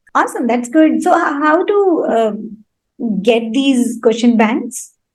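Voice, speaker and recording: Her pitch is high and her intonation lively. The woman speaks at a very slow pace. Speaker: podcast host. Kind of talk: podcast interview host.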